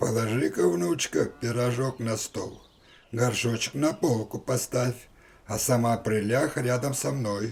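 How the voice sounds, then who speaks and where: Using a cartoonish character voice, a man speaks at a medium pitch and a moderate pace. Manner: sly, coaxing.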